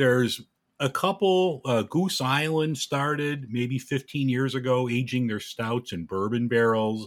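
A man with an American accent speaks at a fairly slow pace in a plain, everyday voice. His pitch varies in an ordinary way, and the recording is very clean with a silent background. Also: medium pitch for a man. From Chicago, US Midwest. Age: 50s. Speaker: podcaster and airline worker. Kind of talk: casual interview.

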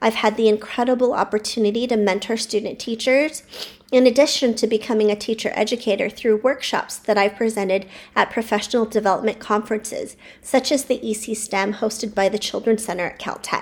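A woman with an American accent and a plain, everyday voice speaks fairly quickly at a fairly high pitch, with fairly even intonation, on a very clean recording with a silent background. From California. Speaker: childcare center owner and educator. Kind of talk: personal storytelling monologue.

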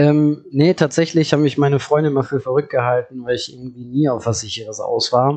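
A man talks at a fairly quick pace with hardly any pauses. His pitch is fairly high, and his intonation is fairly even. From Hagen, Ruhr area, Germany. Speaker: startup founder. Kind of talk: interview. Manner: hesitant, many fillers.

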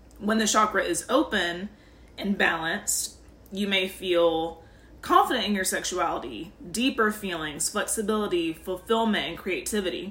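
A medium-pitched woman's voice with ordinary pitch variation over noticeable background noise. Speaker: spiritual podcast host. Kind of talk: guided meditation. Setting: podcast. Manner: slow, soothing, calm; warm, gentle, instructive.

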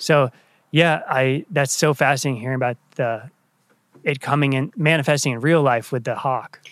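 A man's plain, everyday voice, fairly high in pitch, with fairly even intonation at a moderate pace, in a very clean recording over a silent background. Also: dry, close sound with no echo. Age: 30s. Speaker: podcast host. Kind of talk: casual interview.

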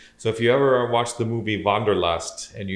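Speaking with a Midwestern American accent, a man talks at a moderate pace with fairly even intonation. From Southeast Michigan. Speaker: electrical engineer and podcast co-host. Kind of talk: casual chat. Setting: at home on the couch by the fireplace.

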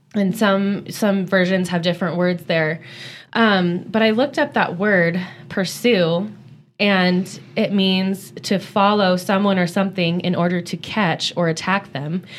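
On a very clean recording with a silent background, a woman talks in a plain, everyday voice at medium pitch, fairly slow, with a fairly even intonation and very even loudness. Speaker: churchgoer sharing faith reflections. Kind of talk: casual Bible-based chat.

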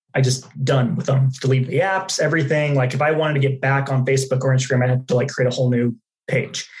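A man talks very fast at a medium pitch, somewhat breathy. His intonation is fairly even and his loudness stays very even. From Dallas, Texas. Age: 20s. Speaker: customer success manager and podcaster. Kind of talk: casual interview.

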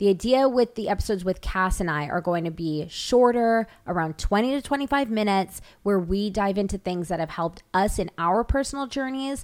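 A woman with a normal speaking voice talks at a medium pitch and a fairly quick pace, with lively intonation and hardly any pauses. The recording is very clean, with a silent background. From Toronto, Canada. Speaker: podcast host. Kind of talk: casual chat.

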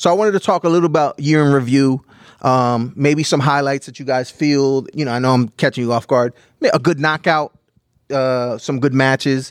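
A man at a moderate pace, animated in tone, with a dry, close sound and no echo. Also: fairly high pitch for a man. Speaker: podcast host. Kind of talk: casual banter. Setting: studio. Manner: animated, joking.

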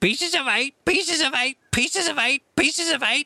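Here is a shrill, high-pitched put-on character voice. It moves at a moderate pace. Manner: repetitive, mechanical squawking.

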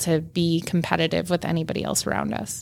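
A woman is talking. Her pace is moderate. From Minnesota. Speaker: state tourism agency head. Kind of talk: interview. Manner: animated.

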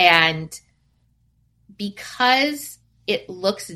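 With a West Coast accent, a woman speaks at medium pitch in a bright, sharp tone with lively intonation. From US Pacific Northwest, Seattle. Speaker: family photographer. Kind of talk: interview.

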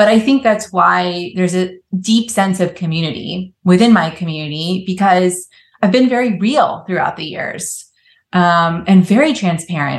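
This woman has a somewhat breathy voice at medium pitch with an American accent. Her pitch varies in an ordinary way. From Florida. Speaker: yoga teacher and studio owner. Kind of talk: casual interview chat. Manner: animated.

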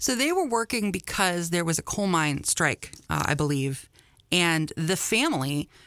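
A woman's fairly low, bright, sharp voice with lively intonation at a moderate pace, on a very clean recording with a silent background. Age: 40s. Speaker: newspaper editor and local history columnist. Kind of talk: interview.

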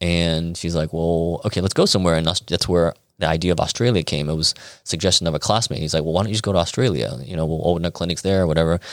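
Speaking at a very fast pace, a man with a Chicago accent has a very deep, low pitch. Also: ordinary pitch variation, very clean recording, silent background. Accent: Chicago American. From Chicago, US Midwest. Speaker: acupuncturist. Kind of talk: casual interview. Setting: in a clinic.

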